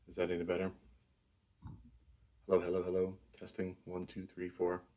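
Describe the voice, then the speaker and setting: This man talks at a fairly quick pace in a soft-spoken, monotone voice with very deep pitch and a dark, mellow tone. His loudness swings widely while his intonation stays flat. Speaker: live stream host. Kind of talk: casual chat. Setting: live stream.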